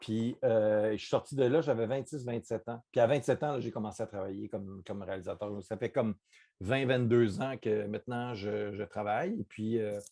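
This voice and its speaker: A man's medium-pitched voice with a dark, mellow tone, ordinary pitch variation and a moderate pace. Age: 40s. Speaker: TV director and screenwriter. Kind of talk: interview. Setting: video call. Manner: halting, many fillers and repeats.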